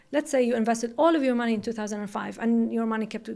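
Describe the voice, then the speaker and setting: Speaking at a very fast pace, a woman with a Saudi accent holds a fairly high pitch. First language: Arabic. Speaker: entrepreneur, company CEO. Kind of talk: interview. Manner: some hesitations and restarts.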